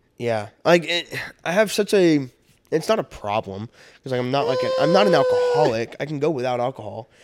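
At a fairly quick pace, a man talks in an unremarkable speaking voice with lively intonation. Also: medium pitch for a man. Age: 20s. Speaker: podcast co-host. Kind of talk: casual chat. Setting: studio.

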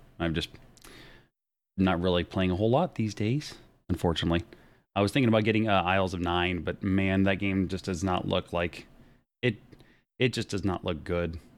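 The recording is very clean, with a silent background. A man with a very deep, low pitch speaks with long, frequent pauses. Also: ordinary pitch variation, fairly quick pace. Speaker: podcast host. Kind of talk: casual chat. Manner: animated.

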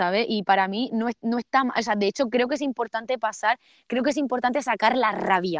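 A woman with an Andalusian accent at a fairly quick pace. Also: ordinary pitch variation. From Andalusia, Spain (Almería). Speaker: poet and visual artist. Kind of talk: casual interview. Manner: animated. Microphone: poor sound quality.

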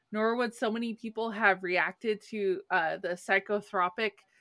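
With a bright, sharp tone and medium pitch, a woman speaks at a moderate pace with fairly even intonation in a very clean, dry, close recording with no echo and a silent background. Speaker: podcast host. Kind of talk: casual chat. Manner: laughs often, chatty.

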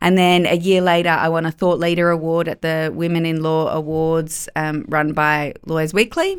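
At a moderate pace and with hardly any pauses, a woman talks in a fairly low pitch. Her intonation is monotone and flat. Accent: Australian. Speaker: lawyer and business owner. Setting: podcast studio.

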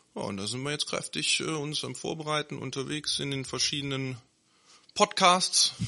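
Using an ordinary speaking voice, a man talks at a moderate pace and fairly high pitch, with ordinary pitch variation. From Neuss, Rhineland, Germany. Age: 30s. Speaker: local political candidate. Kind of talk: podcast interview.

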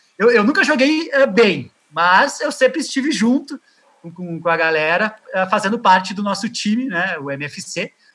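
A man projects a raised voice that is high for a man, bright and sharp in tone. His pitch swings very widely at a moderate pace. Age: 30s. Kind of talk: interview. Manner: halting.

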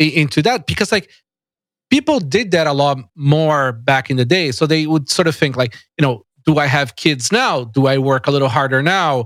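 A man talks with a Portuguese accent. The recording is very clean and the background silent. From Brazil, São Paulo. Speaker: tech company founder and CEO. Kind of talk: casual interview. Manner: halting, many repetitions and fillers.

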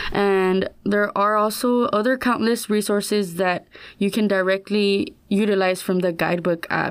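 A woman's ordinary speaking voice, medium in pitch, at a moderate pace with fairly even intonation and very even loudness. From San Antonio, Texas. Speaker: student orientation leader. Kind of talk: podcast interview.

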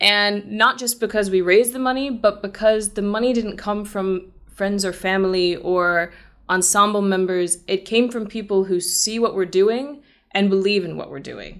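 At a moderate pace, a woman with an American accent speaks at a medium pitch, her intonation fairly even but her loudness swinging widely. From US, Massachusetts (near Boston). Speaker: theater company co-founder, actor and singer. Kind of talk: interview.

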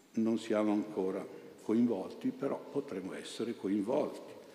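Audible room echo surrounds a man talking at a moderate pace in a dark, mellow tone. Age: 70s. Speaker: priest. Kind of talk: sermon.

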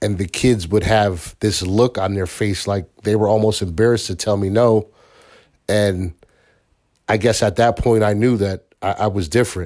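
On a very clean recording with a silent background, an unremarkable speaking voice talks at a moderate pace with fairly even intonation. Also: man, fairly low pitch for a man. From Bridgeport, Connecticut. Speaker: parent being interviewed. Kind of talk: casual interview.

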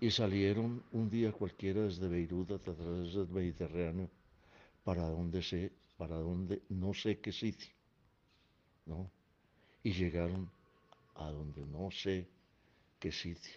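Very deep and low, a man's voice moves at a very slow pace with long, frequent pauses. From Colombia, Caldas. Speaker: elderly family patriarch telling life story. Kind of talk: personal recorded memoir. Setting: at home. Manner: halting with repetitions.

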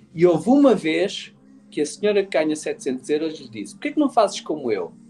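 Music plays in the background as a man speaks. His pace is fairly quick and his intonation lively. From Portugal, Lisbon area (Cacém). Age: 50s. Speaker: business owner. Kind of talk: casual chat.

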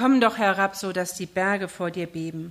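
A woman's medium-pitched voice, varying in pitch in an ordinary way, comes through a very clean recording with a silent background. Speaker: preacher. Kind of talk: sermon. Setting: church. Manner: impassioned, pleading, urgent preaching that builds intensity; rhetorical questions, repeated phrases.

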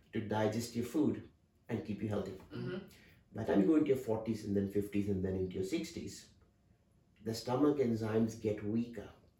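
A somewhat breathy man with a fairly low pitch and a dark, mellow tone speaks at a fairly quick pace with ordinary pitch variation and long, frequent pauses, amid audible room echo. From India. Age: 50s. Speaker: dental surgeon. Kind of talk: interview.

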